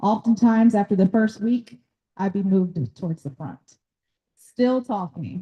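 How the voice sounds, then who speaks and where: With a Southern US accent, a woman speaks at a medium pitch and moderate pace, her dark, mellow tone carrying lively intonation and big swings in loudness in a dry, close recording with no echo. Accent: US South (Tennessee). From Nashville, Tennessee. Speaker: doctor and workshop speaker on ADHD. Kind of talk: talk at a community workshop. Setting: workshop room with live audience.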